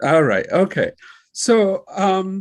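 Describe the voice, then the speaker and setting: A man with a Togolese accent speaks at a high pitch. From Togo, West Africa. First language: Kabye. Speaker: librarian and professor. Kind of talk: personal presentation. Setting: video call. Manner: halting, with many fillers.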